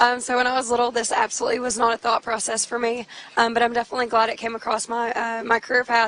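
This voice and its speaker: Over noticeable background noise, a woman speaks at a very fast pace. Her fairly high voice stays monotone and flat. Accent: Texan. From Texas. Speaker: military loadmaster. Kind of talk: interview.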